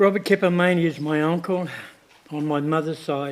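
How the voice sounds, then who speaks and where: A man's fairly high pitch in a monotone, flat intonation. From New Zealand, Māori (Northland). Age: 70s. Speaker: claimant giving evidence at a tribunal hearing. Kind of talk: formal testimony. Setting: tribunal hearing, seated. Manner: hesitant, with frequent fillers.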